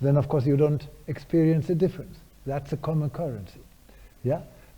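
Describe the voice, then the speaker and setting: Fairly high in pitch yet dark and mellow in tone, a man talks fairly quickly, somewhat breathy, with fairly even intonation. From Germany. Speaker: neuroscientist, professor. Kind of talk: lecture Q&A answers. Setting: university lecture hall with audience.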